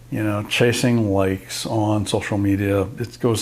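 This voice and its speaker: Noticeable background noise sits behind a man speaking at a fairly low pitch with fairly even intonation. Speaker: photographer and YouTuber. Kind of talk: casual talk to camera. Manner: hesitant, rambling.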